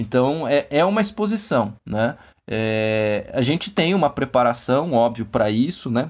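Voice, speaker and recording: Against a quiet background, a man with a medium pitch talks at a fairly slow pace, his pitch swinging very widely while his loudness stays very even. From interior of São Paulo state, Brazil. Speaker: forensic expert (criminal investigator). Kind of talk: interview.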